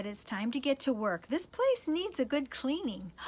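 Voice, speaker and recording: Using a put-on character voice, a woman talks at a moderate pace in a high pitch with very wide pitch swings. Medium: read story. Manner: condescending, impatient.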